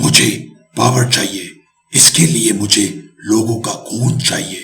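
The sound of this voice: Using a cartoonish character voice at medium pitch, a man speaks at a fairly slow pace with audible echo.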